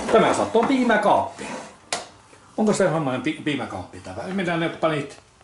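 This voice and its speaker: A man talks at a moderate speed in a high pitch that swings very widely, with noticeable noise in the background. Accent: Tornedalen. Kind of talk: casual conversation.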